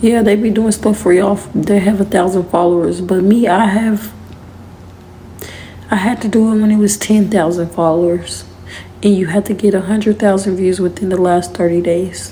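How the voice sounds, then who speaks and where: A woman speaks at a moderate pace in a medium pitch, her tone dark, mellow and somewhat breathy. Her intonation is monotone and flat, and her loudness stays very even. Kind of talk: casual talk to camera.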